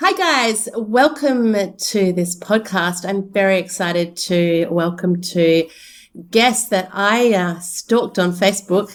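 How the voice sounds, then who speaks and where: With an Australian accent, a woman talks at a very slow pace, her pitch medium and her pitch variation ordinary. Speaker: podcast host, behavior analyst. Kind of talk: casual interview chat.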